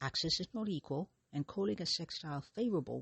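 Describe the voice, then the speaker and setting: This soft-spoken voice keeps to a moderate pace. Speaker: astrology podcast host. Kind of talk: solo podcast monologue.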